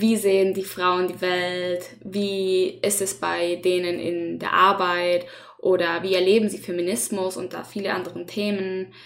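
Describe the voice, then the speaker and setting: With a Spanish accent, a woman talks at a fairly slow pace. Her medium-pitched voice stays monotone and flat. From Chile. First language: Spanish (speaking German). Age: 20s. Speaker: student podcast host. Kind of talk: casual chat.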